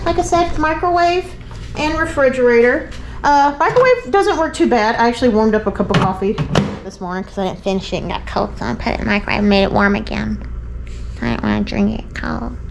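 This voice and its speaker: Very fast speech over light background noise. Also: woman. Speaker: travel vlogger. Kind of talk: casual vlog chat. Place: bathroom. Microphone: phone near.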